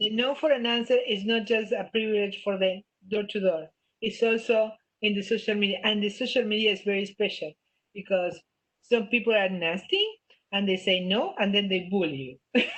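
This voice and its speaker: Woman with a strong non-native accent, medium pitch and a moderate pace. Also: ordinary pitch variation. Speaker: business trainer. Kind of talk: webinar Q&A. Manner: animated.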